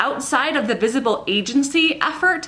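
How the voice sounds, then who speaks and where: A woman with a Minnesotan accent talks at a moderate pace with ordinary pitch variation, noticeable background noise behind her. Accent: Minnesota. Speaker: insurance professional. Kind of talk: scripted commentary to camera.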